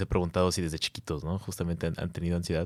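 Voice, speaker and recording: A man with a Mexican accent and a very deep, low pitch, on a very clean recording with a silent background. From Mexico. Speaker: university student. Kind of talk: casual chat.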